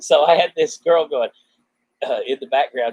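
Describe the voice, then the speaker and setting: Dry, close sound with no echo, from a man at a moderate pace. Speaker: former radio DJ.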